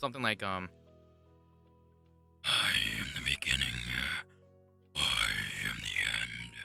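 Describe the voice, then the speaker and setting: A man's put-on character voice at a fairly slow pace, with long, frequent pauses over clear music in the background. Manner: ominous.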